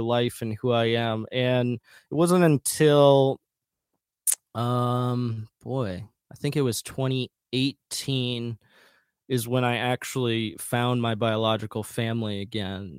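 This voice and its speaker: A man with an Upper Midwest accent speaks at a medium pitch and a very slow pace, his intonation fairly even, in a dry, close recording with no echo. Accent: Upper Midwest American. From rural west central Minnesota, US. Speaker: musician. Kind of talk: casual interview.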